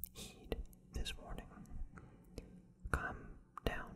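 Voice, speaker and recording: Whispering softly, the speaker keeps a serious tone. The pace is moderate. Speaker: tarot reader. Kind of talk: tarot reading monologue. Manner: soft ASMR whisper, mock-serious warning.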